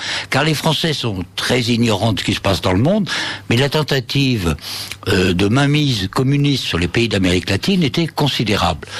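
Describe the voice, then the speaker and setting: A man talks at a moderate pace in a medium pitch, his pitch swinging very widely while his loudness stays very even. Noticeable background noise is present. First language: Spanish (speaking French). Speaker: author and former senior reporter. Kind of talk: radio interview.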